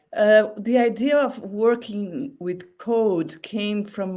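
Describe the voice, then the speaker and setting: A woman with a non-native accent speaks in a dark, mellow tone with lively intonation, in a very clean recording with a silent background. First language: not English. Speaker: exhibiting artist. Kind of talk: interview. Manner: halting.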